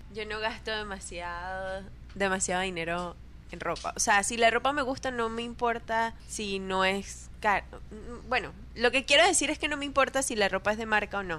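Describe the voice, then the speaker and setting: A woman with a medium pitch and a bright, sharp tone, at a moderate pace with ordinary pitch variation. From Venezuela. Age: 20s. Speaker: podcast guest, guest's wife. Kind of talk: casual chat.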